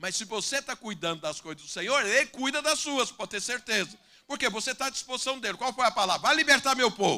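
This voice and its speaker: In a raised, projected voice of extremely high pitch, a man talks at a fairly quick pace with hardly any pauses, lively intonation and a bright, sharp tone. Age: 60s. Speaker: pastor. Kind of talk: sermon. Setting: church with congregation.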